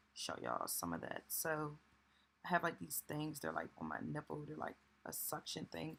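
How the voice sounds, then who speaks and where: A woman speaks quietly at a moderate pace. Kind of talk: casual vlog talk to camera. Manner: speaking low, quiet.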